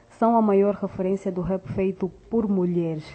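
Her pitch sits at medium for a woman. The intonation stays fairly even. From Angola. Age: young. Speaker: rapper. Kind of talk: recorded tribute message.

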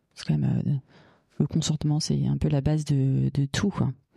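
A woman's voice sits at a very deep, low pitch. She talks at a fairly quick pace. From Paris region, France. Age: 40s. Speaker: feminist activist. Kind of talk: personal testimony. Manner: halting.

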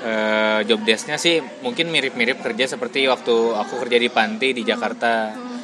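The speech moves at a fairly quick pace with ordinary pitch variation. Noticeable background noise runs underneath. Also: man, medium pitch for a man, hardly any pauses. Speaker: podcast co-host and social worker. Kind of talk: casual chat.

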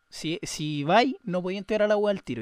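A man with a high pitch speaks at a fairly quick pace. The sound is dry and close with no echo, over a quiet background. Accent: Chilean. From Chile, Viña del Mar. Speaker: podcaster and freestyle rapper. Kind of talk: casual chat.

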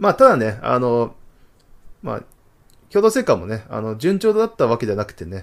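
At a moderate pace, a man talks with very wide pitch swings on a very clean recording with a silent background. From Tohoku, Japan. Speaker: podcast host. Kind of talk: solo talk show. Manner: frequent fillers.

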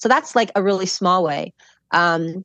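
Speaking in a normal speaking voice with an American accent, a woman keeps a medium pitch, ordinary pitch variation and a moderate pace, in a dry, close sound with no echo over a quiet background. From Chicago. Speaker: professor. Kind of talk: casual chat.

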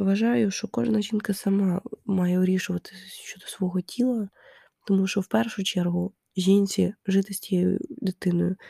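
Somewhat breathy and dark, mellow in tone, the voice moves at a fairly slow pace in a very clean recording with a silent background and a dry, close sound with no echo. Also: woman. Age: 20s. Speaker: podcast host. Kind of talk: casual monologue. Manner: hesitant, many fillers.

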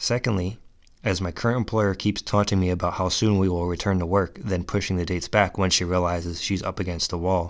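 A man's very deep, low voice at a very fast pace, fairly even in intonation, over a quiet background. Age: 30s. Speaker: BMX rider and small online shop owner. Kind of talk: solo monologue podcast. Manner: scripted, read-aloud delivery.

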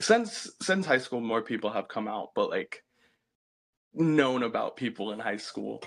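A fairly slow pace on a very clean recording with a silent background. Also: man. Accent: American. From US South. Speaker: recent college graduate. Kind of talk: casual chat.

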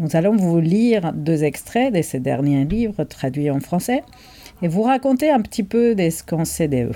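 A woman's fairly low voice with very wide pitch swings, at a fairly slow pace. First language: Spanish (speaking French). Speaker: bookseller, podcast co-host. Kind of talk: casual chat about books.

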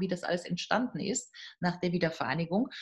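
Somewhat breathy, the woman's voice sits at a medium pitch. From Germany, North Rhine-Westphalia. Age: 50s. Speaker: professor of European politics. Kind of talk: interview. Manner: hesitant, many fillers.

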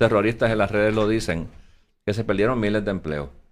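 A man's voice with music in the background. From Puerto Rico. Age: 60s. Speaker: former finance secretary and Senate candidate. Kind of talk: interview.

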